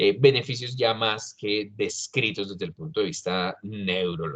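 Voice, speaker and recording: A man with lively intonation. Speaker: doctor, expert speaker on exercise physiology. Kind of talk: lecture. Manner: halting, many fillers.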